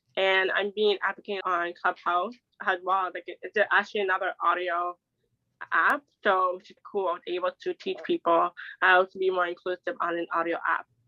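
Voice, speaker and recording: This is a woman with a plain, everyday voice at medium pitch. She speaks at a moderate pace. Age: 20s. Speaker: deaf advocate. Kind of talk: interview.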